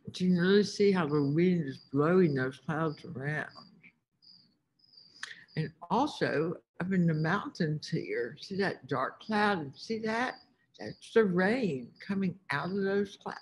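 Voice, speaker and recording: Speaking at a very slow pace with long, frequent pauses, a woman uses lively intonation in a somewhat breathy voice. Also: fairly low pitch for a woman. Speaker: teacher or field trip guide. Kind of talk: lesson narration for young children. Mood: warm, enthusiastic. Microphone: webcam.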